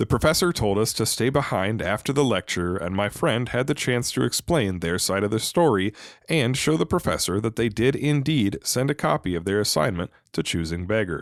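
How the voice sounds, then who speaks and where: A man's voice with very wide pitch swings at a fairly quick pace, on a very clean recording with a silent background. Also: fairly low pitch for a man. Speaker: reddit story narrator. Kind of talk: podcast-style story reading.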